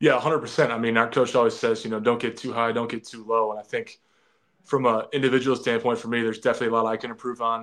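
A man with an American accent talks at a very fast pace. His intonation is monotone and flat. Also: medium pitch for a man, quiet background. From Wisconsin. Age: 20s. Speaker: college basketball player. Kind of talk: casual interview.

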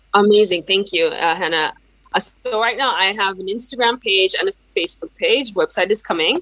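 This woman speaks with a Yoruba accent at a medium pitch. Her pitch variation is ordinary. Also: moderate pace. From Nigeria. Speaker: brand marketing consultant. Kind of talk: interview. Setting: video call.

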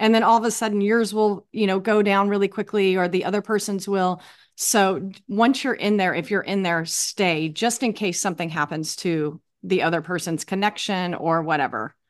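The background stays quiet. A normal speaking voice, at a moderate pace, shows ordinary pitch variation. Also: woman, medium pitch for a woman. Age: 50s. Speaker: runner. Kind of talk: casual chat.

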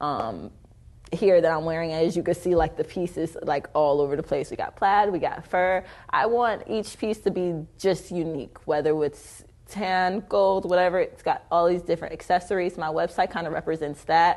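With an American accent, a woman in a normal speaking voice talks at a moderate pace and fairly low pitch, her pitch varying in an ordinary way. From Detroit, then Arizona from about 13. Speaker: social media influencer and model. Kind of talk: interview.

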